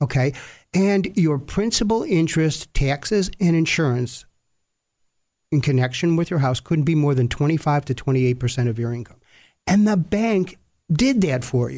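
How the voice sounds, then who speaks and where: On a very clean recording with a silent background, a man with a dark, mellow, somewhat breathy tone speaks at a fairly high pitch and a fairly slow pace with lively intonation. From US, Sicilian immigrant family. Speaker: retired bankruptcy judge. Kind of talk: interview.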